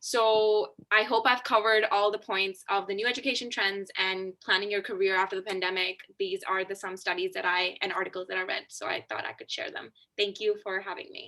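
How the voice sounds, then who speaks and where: Speaking at a fairly quick pace, a woman has a bright, sharp tone, medium pitch and fairly even intonation. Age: young. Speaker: conference speaker. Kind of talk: conference talk. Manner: fast.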